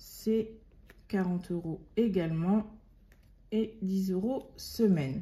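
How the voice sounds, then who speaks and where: At a very slow pace, a woman speaks in a dark, mellow, somewhat breathy voice of medium pitch with ordinary pitch variation. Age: 30s. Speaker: budgeting youtuber. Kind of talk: casual monthly budget talk to viewers. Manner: halting, many hesitations.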